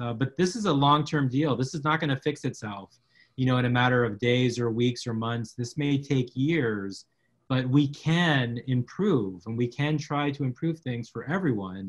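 A man with an American accent speaks at medium pitch and a moderate pace. His voice is somewhat breathy, with ordinary pitch variation. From South Texas, McAllen. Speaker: media law professor. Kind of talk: interview conversation.

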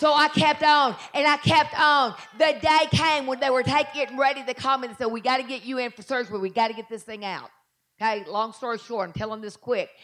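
This woman's voice is high-pitched and energetic, moving at a fairly quick pace. Her loudness swings widely while her pitch varies in an ordinary way. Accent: Southern US. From Southern United States. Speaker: pastor preaching a sermon. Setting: church service, live audience. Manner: fast-paced, energetic preaching.

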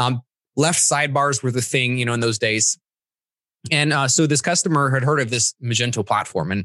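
Against a quiet background, a man talks fairly quickly with a bright, sharp tone and ordinary pitch variation, the sound dry and close with no echo. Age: 30s. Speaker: e-commerce developer and trainer. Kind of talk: casual interview.

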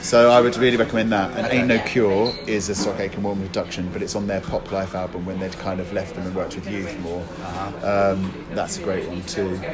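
Fairly quick speech with fairly even intonation, amid noticeable background noise and audible room echo. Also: man, fairly low pitch for a man. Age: 40s. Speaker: DJ and podcaster. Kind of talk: casual chat. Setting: in person.

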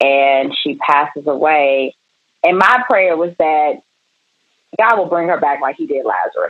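With an American accent, a woman speaks at a fairly slow pace and fairly low pitch, her intonation lively and broken by long, frequent pauses. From Maryland, Prince George's County. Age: 40s. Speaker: retired entrepreneur. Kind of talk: interview, life story.

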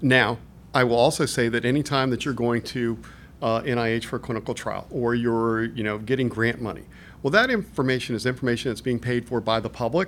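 A man's plain, everyday voice at medium pitch, fairly quick and fairly even in intonation. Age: 50s. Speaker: management consultant, former federal finance executive. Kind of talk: interview. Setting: conference.

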